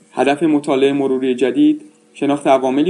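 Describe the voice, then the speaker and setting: Noticeable background noise runs behind the speaker. A man talks at a fairly quick pace. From Iran. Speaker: health researcher and associate professor. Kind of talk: scripted narration. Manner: formal.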